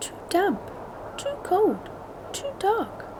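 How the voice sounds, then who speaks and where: Over noticeable background noise, a woman puts on a squeaky character voice. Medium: read story.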